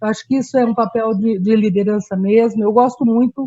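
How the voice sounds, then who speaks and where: Somewhat breathy, a woman speaks at a fairly high pitch with a dark, mellow tone and fairly even intonation. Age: 60s. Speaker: community activist. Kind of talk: panel talk. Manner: halting, with frequent fillers.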